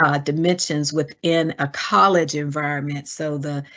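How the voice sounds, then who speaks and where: This woman talks at a very slow pace in a Southern US accent. Her pitch is very deep and low. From US South. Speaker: diversity educator. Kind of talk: webinar presentation. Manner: frequent hesitations.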